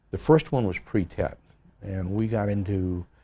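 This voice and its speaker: A man speaks in a fairly low voice with an American accent. His delivery is somewhat breathy and fairly slow. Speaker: retired army general, Vietnam war veteran. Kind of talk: oral history interview answer.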